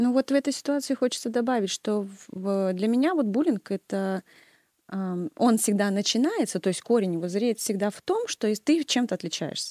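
On a very clean recording with a silent background and a dry, close sound with no echo, a woman with a dark, mellow tone and a fairly high pitch talks at a moderate pace with lively intonation. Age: 30s. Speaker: music teacher. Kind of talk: casual chat.

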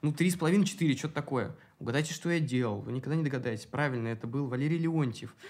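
Speaking at a very fast pace, a man with a fairly high pitch uses ordinary pitch variation. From Moscow, Russia. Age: 20s. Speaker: drag and burlesque performer. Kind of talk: casual interview chat.

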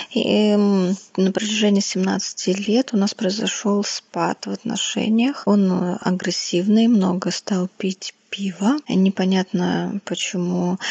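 At a very slow pace, a woman with medium pitch speaks with fairly even intonation and very even loudness over noticeable background noise. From Russia, Tula region. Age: 30s. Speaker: listener submitting a question. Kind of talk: personal story read out as a question.

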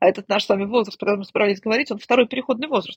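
A woman speaks at medium pitch in a somewhat breathy voice with ordinary pitch variation. The sound is dry and close, with no echo. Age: 50s. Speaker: family psychologist. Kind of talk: interview conversation.

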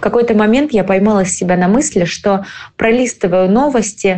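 This woman has a dark, mellow tone at a medium pitch, with ordinary variation in her intonation. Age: 30s. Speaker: cosmetologist, clinic owner. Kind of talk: recorded personal story.

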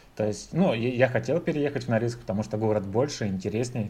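A man with a medium pitch and vocal fry talks at a fairly quick pace. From Russia. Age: 30s. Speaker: IT evangelist. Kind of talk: casual chat.

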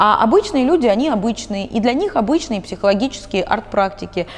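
Lively intonation marks this woman's voice, heard over noticeable background noise. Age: 30s. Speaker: psychologist. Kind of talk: interview.

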